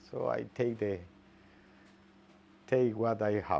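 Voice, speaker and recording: A man with a non-native accent, medium in pitch, with fairly even intonation. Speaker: biologist. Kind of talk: interview. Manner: halting.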